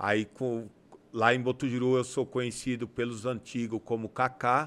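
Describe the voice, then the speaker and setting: A man's medium-pitched voice at a moderate pace. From Brazil, São Paulo state (Campo Limpo Paulista); São Paulo state, Brazil. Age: 40s. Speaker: community leader and amateur football club president; podcast guest. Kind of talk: casual interview. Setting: studio. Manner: halting, with many fillers. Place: studio. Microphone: studio mic.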